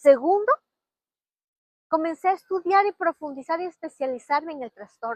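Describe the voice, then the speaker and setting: With long, frequent pauses and big swings in loudness, a woman speaks at a moderate pace in an extremely high pitch with lively intonation, the sound dry and close with no echo. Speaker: podcast host and learning-disorder specialist. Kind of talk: personal testimony monologue.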